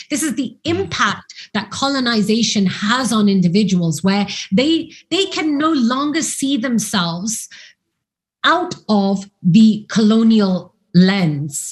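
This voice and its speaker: At a very slow pace, a woman speaks in a somewhat breathy, fairly high voice that swings very widely in pitch. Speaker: academic and commentator. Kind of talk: interview discussion. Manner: articulate.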